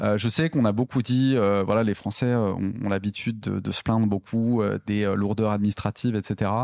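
A man's fairly low voice at a moderate pace, fairly even in intonation and with hardly any pauses, dry and close with no echo, on a very clean recording with a silent background. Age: 30s. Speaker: entrepreneur, company cofounder. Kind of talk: interview conversation. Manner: hesitant, many fillers and repetitions.

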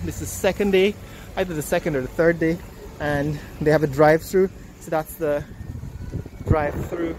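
The sound is dry with no echo, with light background noise behind it. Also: moderate pace. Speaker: vlogger reviewing a new coffee shop. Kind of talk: casual vlog commentary. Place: street. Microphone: phone near.

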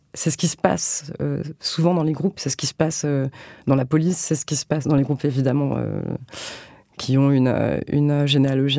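On a very clean recording with a silent background, the words come at a fairly quick clip. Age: 30s. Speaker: novelist. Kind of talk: interview. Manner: halting.

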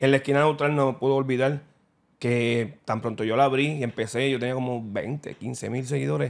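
At a fairly quick pace, a man talks at medium pitch with fairly even intonation in an ordinary speaking voice. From Puerto Rico. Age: 40s. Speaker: boxing content creator. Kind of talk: casual interview. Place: studio. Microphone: studio mic.

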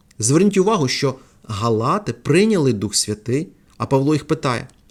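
In a very clean recording with a silent background, a man with a fairly high pitch and lively intonation speaks at a moderate pace, an unremarkable speaking voice. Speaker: preacher. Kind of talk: sermon.

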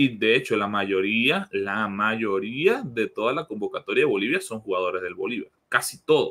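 Speaking at a moderate pace, a man leaves hardly any pauses. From Venezuela, Maracaibo; Venezuela. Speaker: sports journalist; guest journalist. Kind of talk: casual chat; interview answer. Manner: halting, repeats words. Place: home room. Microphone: video call.

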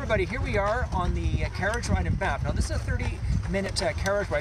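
A man talks at a very fast pace. The sound is dry with no echo, but loud background noise runs underneath. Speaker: tourist vlogger. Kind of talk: casual vlog chat. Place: street. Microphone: phone near.

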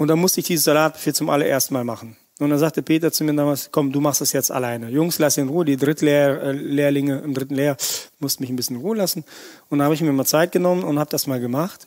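Fairly high in pitch, a man with a Russian accent talks at a very fast pace. The recording is very clean and the background silent. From Russia, moved to Erkelenz area at nine. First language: Russian (speaking German). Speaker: chef. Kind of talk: podcast interview. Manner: animated, colloquial.

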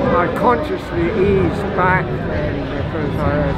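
A man over loud background noise. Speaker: marathon runner. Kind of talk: post-race interview answer. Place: street.

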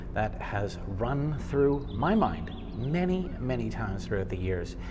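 Noticeable background noise runs under this recording. A man speaks at a fairly slow pace. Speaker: travel vlogger. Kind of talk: casual vlog chat. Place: tunnel cave. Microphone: phone near.

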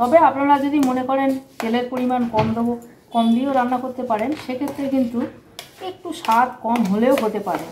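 Over light background noise, a woman speaks at a high pitch with fairly even intonation. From Kolkata, West Bengal, India; West Bengal, India. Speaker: cooking channel host. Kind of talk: cooking tutorial. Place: kitchen. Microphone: camera far.

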